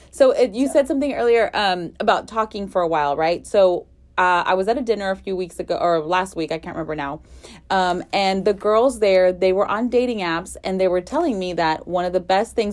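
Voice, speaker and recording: At a fairly quick pace, a woman with a medium pitch speaks with lively intonation in an unremarkable speaking voice. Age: 30s. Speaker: podcast host. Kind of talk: casual chat.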